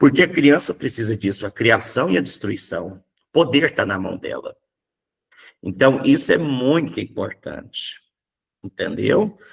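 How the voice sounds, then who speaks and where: A man talks at a fairly slow pace with a Minas Gerais accent. His loudness swings widely, and he leaves long, frequent pauses. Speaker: psychoanalysis teacher. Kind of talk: lecture. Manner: animated.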